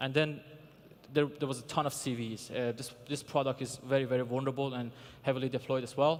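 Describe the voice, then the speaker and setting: Speaking at a fairly quick pace, a man with a non-native accent uses a medium pitch and monotone, flat intonation. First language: not English. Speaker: security researcher, conference speaker. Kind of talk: conference talk. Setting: stage with audience. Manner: hesitant, many fillers.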